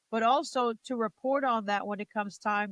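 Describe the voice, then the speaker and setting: The pitch varies in an ordinary way. It's a normal speaking voice moving at a moderate speed. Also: woman. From New Jersey. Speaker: wrestling commentator and ring announcer. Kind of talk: interview answer.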